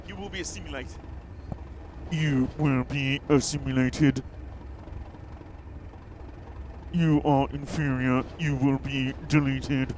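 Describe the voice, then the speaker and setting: A man's robotic, put-on character voice at a medium pitch and fairly slow pace, with long, frequent pauses and clear background noise. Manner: menacing.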